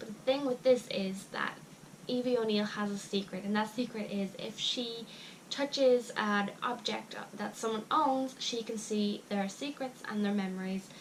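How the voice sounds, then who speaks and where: A woman speaks with a fairly high pitch at a fairly slow pace. Her intonation stays fairly even. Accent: Irish. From Ireland. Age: young. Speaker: book reviewer. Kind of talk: casual talk to camera.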